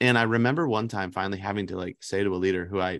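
A man with a normal speaking voice talks at a fairly quick pace, his pitch fairly low with ordinary variation, in a dry, close sound with no echo and a quiet background. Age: 30s. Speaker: youth pastor, podcast co-host. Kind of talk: casual chat.

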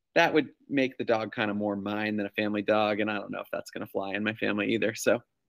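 A man's fairly low voice with an American accent, at a very fast pace. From New York. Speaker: school-based clinician and podcast host. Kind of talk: casual chat.

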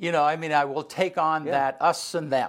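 A man speaks in a normal speaking voice at a fairly high pitch. He keeps a fairly quick pace. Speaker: radio host. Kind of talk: casual chat.

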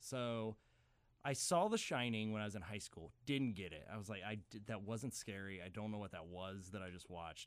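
Speaking at a moderate pace with ordinary pitch variation, a man has a fairly low pitch and an ordinary speaking voice. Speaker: film professor. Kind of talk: casual chat.

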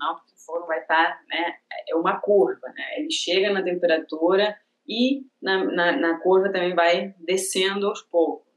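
This woman talks in an Argentine accent at a moderate pace. Her voice sits fairly low in pitch. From Argentina. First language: Spanish (speaking Portuguese). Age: 30s. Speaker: ceramics teacher. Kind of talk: casual interview chat.

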